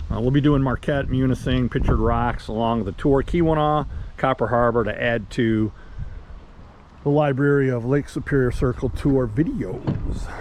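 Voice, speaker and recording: A man with an American accent, a plain, everyday voice, medium pitch, ordinary pitch variation and a moderate pace. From Michigan, US. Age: 60s. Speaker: travel vlogger. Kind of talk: casual travel narration. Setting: outdoors and in a car. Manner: casual, with fillers and repetitions.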